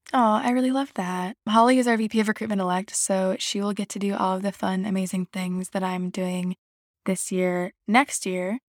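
A woman with a plain, everyday voice speaks at medium pitch and moderate pace with fairly even intonation, dry and close with no echo on a very clean recording with a silent background. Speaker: student organization officer, podcast host. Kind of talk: casual informational podcast.

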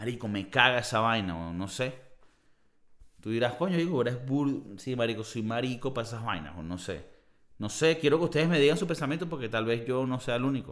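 A man's animated, fairly quick delivery at a medium pitch, with lively intonation. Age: 30s. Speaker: podcast host. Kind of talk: casual monologue.

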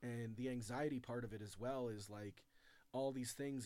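Here a man talks in an ordinary speaking voice. His pitch is medium and his intonation fairly even. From Chicago. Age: 40s. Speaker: comedian and author. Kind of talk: casual chat.

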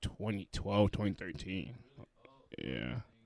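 Vocal fry runs through this man's voice. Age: 20s. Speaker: podcast co-host. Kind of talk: casual chat.

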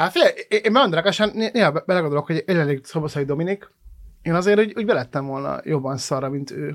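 A man speaks in a fairly high pitch. His pace is fairly quick, with ordinary pitch variation. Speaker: podcast host and comedian. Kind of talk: casual chat. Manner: halting.

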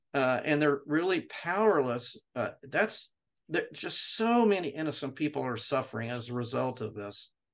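A man with an American accent has an ordinary speaking voice, pitched fairly high. He talks at a moderate pace with lively intonation. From Jerusalem, then US. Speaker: retired theology professor. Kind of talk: interview.

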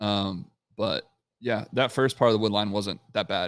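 The voice is an unremarkable speaking voice with fairly even intonation, captured in a very clean recording against a silent background. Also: man. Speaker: podcast co-host. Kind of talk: casual chat. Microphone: new microphone.

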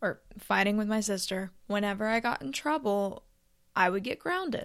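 A woman with a plain, everyday voice speaks at a moderate pace and medium pitch on a very clean recording with a silent background. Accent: American. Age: 20s. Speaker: podcaster. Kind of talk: solo monologue podcast. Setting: recording at home in bed.

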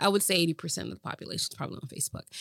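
A woman speaks at a fairly low pitch. Her voice has vocal fry. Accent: American. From Boston, Massachusetts. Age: 40s. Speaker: show host and entertainer, former rapper. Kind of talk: casual interview chat.

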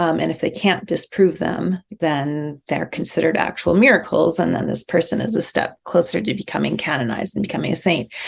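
With a Canadian accent, a woman speaks in a plain, everyday voice at a fairly low pitch. She goes at a fairly quick pace with hardly any pauses and lively intonation. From rural Alberta, Canada. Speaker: writer and creative writing professor. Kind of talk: interview conversation.

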